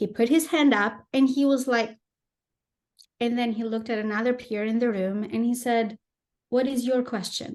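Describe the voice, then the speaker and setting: A woman with a non-native accent speaks at a fairly slow pace and fairly high pitch, her intonation fairly even against a quiet background. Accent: foreign. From Albania and Greece. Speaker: former tech executive turned artist. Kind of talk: podcast interview.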